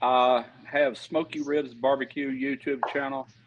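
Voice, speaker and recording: A man with a Mississippi Gulf Coast accent at a fairly slow pace. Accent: Southern US (Mississippi Gulf Coast). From US South, Pascagoula, Mississippi. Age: 60s. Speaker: retired pipe welder, barbecue YouTuber. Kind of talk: casual interview chat.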